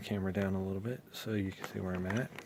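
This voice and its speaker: A man's fairly low voice at a fairly quick pace over noticeable background noise. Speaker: fursuit maker. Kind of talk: tutorial. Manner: loud.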